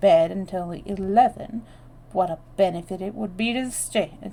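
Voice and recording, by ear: Someone reads aloud in a natural voice, and the pitch rises and falls in an ordinary way.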